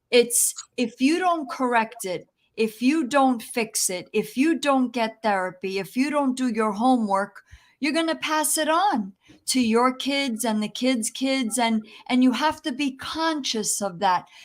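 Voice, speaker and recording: A woman's high, lively voice at a fairly slow pace, on a very clean recording with a silent background. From New Jersey, US. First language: Italian. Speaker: safety consultant and real estate agent. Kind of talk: interview.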